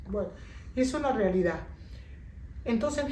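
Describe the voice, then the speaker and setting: Lively intonation marks this woman's speech. Noticeable background noise and audible room echo fill the recording. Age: 60s. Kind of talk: interview testimony.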